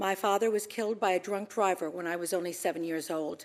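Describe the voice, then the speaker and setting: A woman with an ordinary speaking voice, medium in pitch with ordinary pitch variation, speaks at a moderate pace on a very clean recording with a silent background. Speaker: ambassador nominee, businesswoman. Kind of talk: confirmation hearing statement and Q&A. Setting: Senate hearing room.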